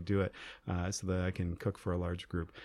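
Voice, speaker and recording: A man with an Ontario accent against a quiet background. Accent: Canadian (Ontario). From rural Ontario, Canada. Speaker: school principals' association president. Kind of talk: interview.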